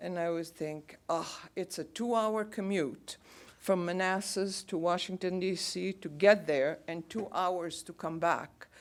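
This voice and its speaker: In a Bulgarian accent, a woman of medium pitch talks at a fairly slow pace with fairly even intonation, on a very clean recording with a silent background. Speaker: radio announcer. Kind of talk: lecture talk to audience.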